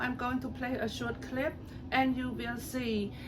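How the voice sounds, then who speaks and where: A woman with a Cambodian accent speaks at a high pitch in a monotone, flat intonation. Her pace is fairly slow, and room echo is audible. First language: Khmer. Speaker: political commentator on social media. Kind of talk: casual political commentary video. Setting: at home. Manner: hesitant, many fillers.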